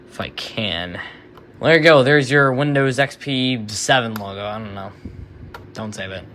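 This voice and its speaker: A man at a moderate pace, with long, frequent pauses, big swings in loudness and noticeable background noise. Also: medium pitch for a man, ordinary pitch variation. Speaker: tech YouTuber. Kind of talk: casual screen-recording commentary. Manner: casual, hesitant with fillers. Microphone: recorded on an iPhone.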